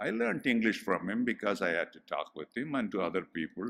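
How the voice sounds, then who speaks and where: Vocal fry runs through this man's voice. His pitch swings very widely at a moderate pace. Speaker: professor. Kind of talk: commemorative address with slides.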